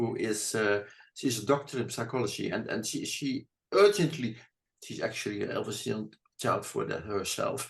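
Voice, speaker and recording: Somewhat breathy, this man's voice carries the words. He talks at a fairly slow pace. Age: 70s. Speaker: therapist. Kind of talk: interview answer.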